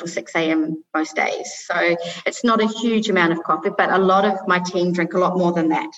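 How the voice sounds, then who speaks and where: A woman with a New Zealand accent, medium pitch, ordinary pitch variation and a moderate pace. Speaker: coffee business founder. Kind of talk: interview.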